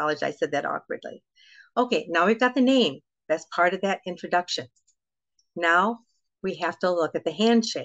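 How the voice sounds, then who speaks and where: A woman at medium pitch speaks fairly quickly with lively intonation and long, frequent pauses, recorded dry and close with no echo against a quiet background. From United States. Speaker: etiquette and protocol consultant. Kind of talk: interview. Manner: fast.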